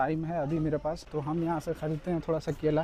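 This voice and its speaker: A man talks at a moderate pace in a fairly high pitch, his intonation monotone and flat. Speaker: travel vlogger. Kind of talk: travel vlog narration. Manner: casual, conversational.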